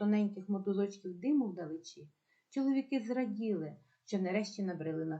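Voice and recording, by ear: Someone reads aloud in a natural voice, intonation lively, with a quiet background behind.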